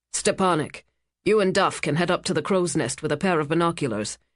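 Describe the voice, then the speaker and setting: A growling put-on character voice at a middle pitch, moving at a fairly quick pace against a quiet background. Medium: read story. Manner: nervous, muttering.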